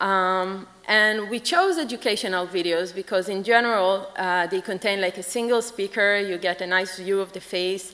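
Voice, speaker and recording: The speaker is a woman at a moderate pace. Her intonation stays fairly even. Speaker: conference presenter. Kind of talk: lecture. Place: hall. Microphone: podium.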